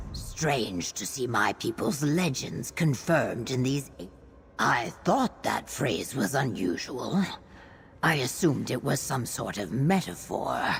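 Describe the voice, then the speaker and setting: Over clear background noise, a man puts on a character voice at a medium pitch, speaking at a fairly slow pace. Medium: video game.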